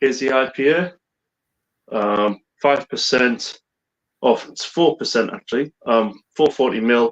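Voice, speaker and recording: Very slowly, a man with a Teesside accent speaks at medium pitch with ordinary pitch variation, the sound dry and close with no echo. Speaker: whisky and beer YouTuber. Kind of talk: casual chat. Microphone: bad internet connection, cutting out.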